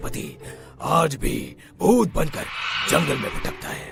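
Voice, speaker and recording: A man performs a cartoonish character voice with clear music in the background. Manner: authoritative.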